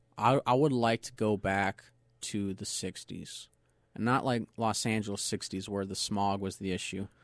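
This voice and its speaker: In an American accent, a man with an ordinary speaking voice talks at a fairly slow pace and a fairly low pitch. His intonation stays fairly even, and the sound is dry and close with no echo. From US West (Southern California, Inland Empire). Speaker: race car driver. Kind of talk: interview. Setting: studio.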